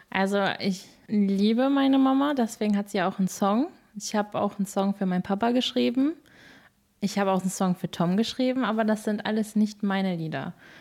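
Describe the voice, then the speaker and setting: In a very clean recording with a silent background, a woman with a plain, everyday voice speaks at a fairly quick pace, with ordinary pitch variation and very even loudness. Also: medium pitch for a woman. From Germany, Moers area (born in England). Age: 20s. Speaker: singer. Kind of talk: interview.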